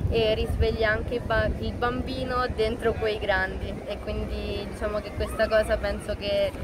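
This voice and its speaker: A woman speaks over loud background noise. The sound is dry, with no echo. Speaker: dancer. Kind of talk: interview answer. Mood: cheerful, animated. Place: street.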